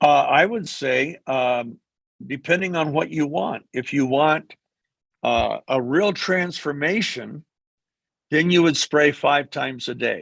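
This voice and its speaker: Very slowly, a man talks at a fairly high pitch with ordinary pitch variation. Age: 70s. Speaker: company executive. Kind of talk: q&a session.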